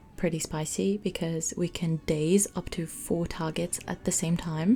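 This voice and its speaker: Over music in the background, the speaker talks at a fairly slow pace in a non-native accent. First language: not English. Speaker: gaming video creator. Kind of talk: gameplay commentary. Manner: casual.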